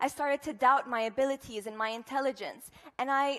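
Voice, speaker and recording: Speaking at a moderate pace, a woman with an Arabic accent has a high pitch. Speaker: student speaker. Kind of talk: inspirational talk. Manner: animated.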